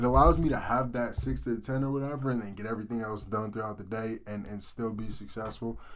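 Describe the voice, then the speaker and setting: Over audible room echo, a man rattles along at a very fast pace with hardly any pauses, his tone animated and his medium pitch showing ordinary variation. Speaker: amateur forex trader, YouTuber. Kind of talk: casual screen-share trade breakdown. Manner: animated, halting with repeats; loud. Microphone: cheap USB snowball mic.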